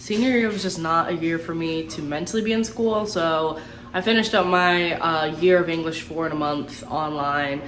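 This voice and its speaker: A woman with a fairly low pitch and ordinary pitch variation talks at a moderate pace amid audible room echo and noticeable background noise. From Tampa, Florida, with Puerto Rican family. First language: Spanish. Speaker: YouTuber. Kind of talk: casual Q&A vlog. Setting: at home. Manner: animated.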